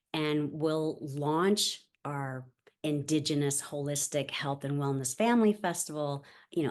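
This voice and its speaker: A woman's very deep, low voice at a fairly slow pace, with ordinary pitch variation, over a quiet background. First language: Spanish. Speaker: nonprofit founder. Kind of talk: interview. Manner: halting.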